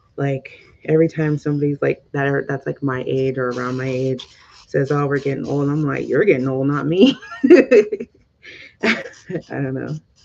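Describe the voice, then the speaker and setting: The speech comes in an American accent at a moderate pace with fairly even intonation. Long, frequent pauses break it up. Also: woman, very deep, low pitch for a woman. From Southern California. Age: 30s. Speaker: lifestyle vlogger. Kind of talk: casual chat. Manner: halting.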